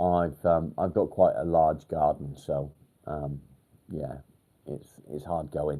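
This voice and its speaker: In a northwest English accent, a man with a very deep, low pitch and a dark, mellow tone speaks very slowly, with long, frequent pauses. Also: fairly even intonation. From northern England, near Warrington. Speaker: mental health livestreamer. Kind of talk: casual livestream chat. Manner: hesitant, many ums.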